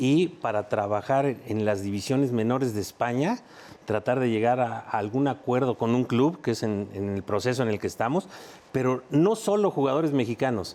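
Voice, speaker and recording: With an ordinary speaking voice, a man talks at a moderate pace, his medium pitch showing ordinary variation. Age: 60s. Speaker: former footballer and talent scout. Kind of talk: sports panel discussion.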